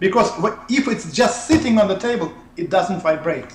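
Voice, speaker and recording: In a Russian accent, a man with a high pitch and ordinary pitch variation speaks at a fairly slow pace. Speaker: researcher of ancient technology. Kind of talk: interview. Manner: halting.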